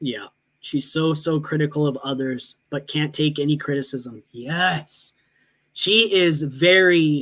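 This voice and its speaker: This man has an ordinary speaking voice, fairly high in pitch, with fairly even intonation and a fairly slow pace. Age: 30s. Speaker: livestreamer reacting to reality show drama. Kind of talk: casual livestream commentary.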